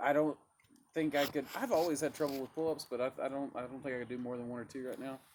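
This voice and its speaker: Very fast and monotone with flat intonation, a man speaks at a fairly high pitch. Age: 30s. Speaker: mushroom business owner. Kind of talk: casual chat. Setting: outdoors by a fire pit.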